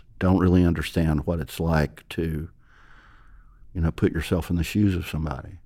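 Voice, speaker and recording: With a Georgia accent, a man talks at a moderate pace in a very deep, low, dark and mellow voice, his intonation flat and monotone, pausing long and often on a very clean recording with a silent background. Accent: Georgia Southern US. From Georgia, US South. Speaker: magazine founder and editor. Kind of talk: casual interview.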